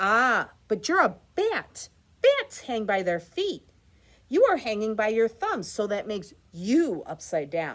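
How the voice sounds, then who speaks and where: A loud, female-sounding put-on character voice, fairly high in pitch for a woman, at a fairly slow pace. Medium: read story.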